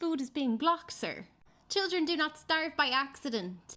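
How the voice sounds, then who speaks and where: A woman with an Irish accent uses a raised, projected voice with a bright, sharp tone at a fairly slow pace. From Ireland. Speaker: political commentator. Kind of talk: video commentary. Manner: impassioned.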